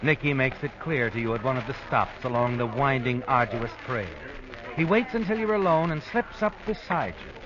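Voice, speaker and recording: Against noticeable background noise, a man talks at a moderate pace and a medium pitch, his voice making very wide pitch swings. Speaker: radio drama narrator. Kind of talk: 1940s radio drama narration, second person.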